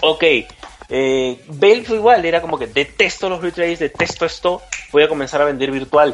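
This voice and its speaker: With music playing in the background, a man speaks at a moderate pace in a fairly high voice. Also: ordinary pitch variation. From Peru. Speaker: video game lawyer. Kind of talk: panel discussion.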